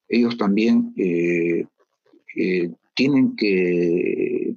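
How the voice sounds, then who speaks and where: The recording is dry and close, without any echo. It captures a man talking. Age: 60s. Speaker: judge. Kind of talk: interview.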